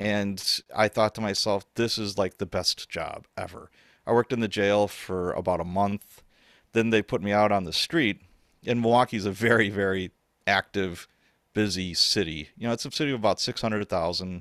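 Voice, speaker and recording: In a very clean recording with a silent background and a dry, close sound with no echo, a man with a normal speaking voice talks at a moderate pace, his fairly low pitch held in fairly even intonation. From US Midwest, Chicago South Side and Wisconsin. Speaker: author and former police officer. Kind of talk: casual chat.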